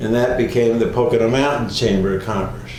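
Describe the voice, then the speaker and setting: A man with an American accent speaks at medium pitch with fairly even intonation. Noticeable background noise is present. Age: 80s+. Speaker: retired attorney and civic leader. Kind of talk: oral history interview answer. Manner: hesitant, conversational.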